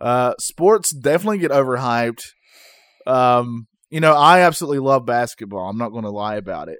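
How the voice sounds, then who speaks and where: Talking at a fairly quick pace, a man with an ordinary speaking voice and medium pitch uses lively intonation and big swings in loudness. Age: 30s. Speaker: podcast co-host. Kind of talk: casual chat. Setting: home recording setup.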